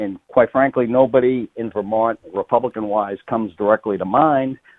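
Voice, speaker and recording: Fairly even intonation marks this man's speech, which moves at a moderate pace. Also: medium pitch for a man. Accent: Boston. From Massachusetts, north of Boston. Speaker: state politician, retired firefighter. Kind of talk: radio interview.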